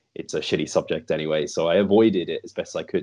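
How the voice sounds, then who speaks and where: A man's very fast speech with a British accent, set against a quiet background. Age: 30s. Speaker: fitness podcast host and coach. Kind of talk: interview conversation.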